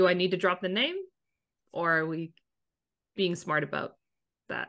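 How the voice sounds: A woman speaks at a fairly slow pace with a fairly low pitch and ordinary pitch variation. Her tone is fairly bright, with vocal fry.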